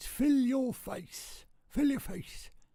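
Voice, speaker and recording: The speaker puts on a raspy, high-pitched character voice with an Irish accent. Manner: exaggerated, playful.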